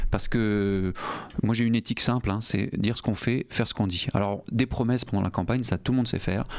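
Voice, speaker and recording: A man's medium-pitched voice at a very fast pace. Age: 40s. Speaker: politician, mayoral candidate. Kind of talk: radio interview.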